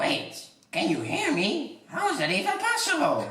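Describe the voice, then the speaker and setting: Here is a put-on character voice, high and shrill. A slight echo surrounds it. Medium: audio drama.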